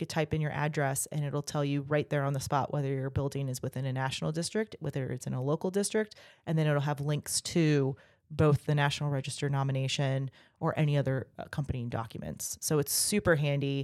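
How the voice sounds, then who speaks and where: A woman with an American accent speaks at a very fast pace, her pitch very deep and low and her intonation fairly even. The recording is very clean with a silent background, and the sound is dry and close with no echo. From Virginia Beach, Virginia. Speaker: nonprofit director, historic preservationist. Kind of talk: casual interview.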